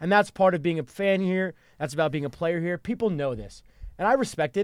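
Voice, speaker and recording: A man speaks fairly quickly with lively intonation. The recording is very clean, with a silent background. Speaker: sports talk show host. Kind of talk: casual sports banter. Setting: studio. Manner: animated, opinionated.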